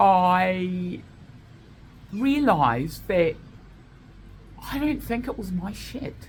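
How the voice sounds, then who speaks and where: A loud woman's voice at medium pitch with an Australian accent, very wide pitch swings, vocal fry and audible room echo. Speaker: vlogger. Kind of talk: casual monologue. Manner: animated.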